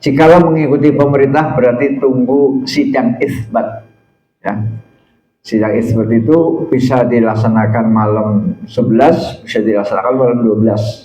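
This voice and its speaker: Audible room echo surrounds a man's somewhat breathy, dark, mellow voice, which shows ordinary pitch variation and big swings in loudness. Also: moderate pace. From Central Java (Tegal). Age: old. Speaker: Islamic preacher and university lecturer. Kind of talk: religious talk to congregation.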